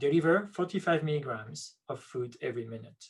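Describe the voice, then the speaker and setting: A man speaks with a French accent at a fairly high pitch. His voice is somewhat breathy, with lively intonation. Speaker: neuroscience researcher. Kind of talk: lecture.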